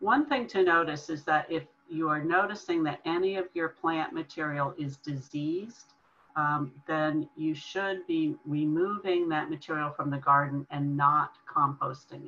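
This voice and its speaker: Very deep and low, a woman's voice moves at a fairly slow pace with ordinary pitch variation. Light background noise can be heard. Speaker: extension educator presenting. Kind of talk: webinar lecture. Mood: calm, friendly. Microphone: webcam.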